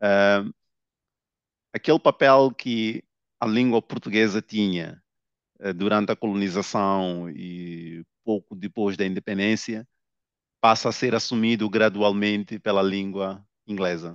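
A man speaks fairly slowly at a fairly low pitch, with fairly even intonation and long, frequent pauses. The sound is dry with no echo over a quiet background. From Mozambique. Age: 30s. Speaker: novelist; guest. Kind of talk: interview. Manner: hesitant, many filler sounds. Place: office. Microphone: headset.

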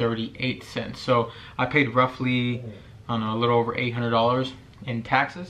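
A man speaks at a moderate pace. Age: 20s. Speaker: ER nurse. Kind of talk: casual talk to camera. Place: home room.

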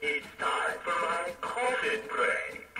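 Very slowly, a put-on character voice draws out its words. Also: man. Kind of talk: novelty toy sound clips. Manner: playful, mock-menacing.

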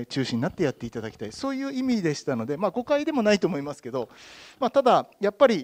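A man talks very fast at a high pitch, with very wide pitch swings. His loudness swings a lot, and the background is quiet. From Obihiro, Hokkaido, Japan; Hokkaido, Japan. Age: 50s. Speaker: town mayor. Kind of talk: panel discussion. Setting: stage with audience. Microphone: handheld.

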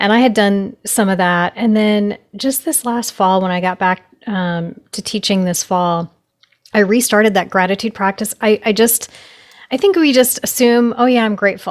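Against a quiet background, a woman speaks at a moderate pace with ordinary pitch variation. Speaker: podcast host and piano teacher; podcast host, piano teacher. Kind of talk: casual interview. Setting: remote call. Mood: warm, encouraging. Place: home room. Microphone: studio mic.

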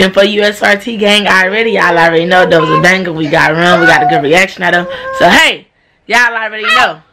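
Noticeable background noise sits behind a woman's voice. She talks at a fairly quick pace with ordinary pitch variation. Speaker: family prank vlogger. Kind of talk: casual vlog chat. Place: home room. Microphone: phone near.

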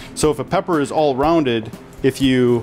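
With faint background music, a man talks at a moderate pace. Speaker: chef host. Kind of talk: cooking tutorial. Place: kitchen. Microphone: lapel.

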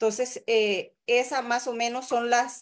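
A woman's high-pitched voice at a fairly slow pace. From El Salvador. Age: 40s. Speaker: physician and mayoral candidate; candidate. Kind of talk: interview. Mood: earnest, critical political talk. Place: home room. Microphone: video call.

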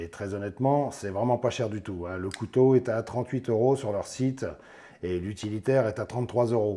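At a moderate pace, a man speaks with ordinary pitch variation. His voice has a dark, mellow tone.

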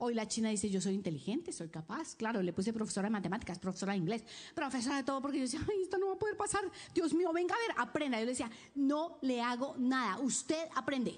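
A woman with a high pitch and an animated tone, at a very fast pace, with very wide pitch swings. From Colombia. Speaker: preacher. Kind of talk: sermon. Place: church. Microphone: handheld.

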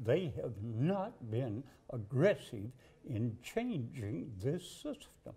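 A man with a Southern US accent talks at a very slow pace and a medium pitch. His dark, mellow tone is somewhat breathy, with very wide pitch swings. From Alabama. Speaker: political candidate. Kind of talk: interview. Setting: studio couch interview. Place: studio. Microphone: lapel.

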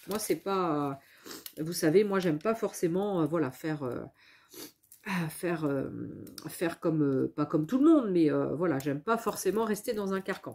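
A woman speaks fairly slowly in a fairly low pitch with ordinary pitch variation. Her tone is slightly mellow.

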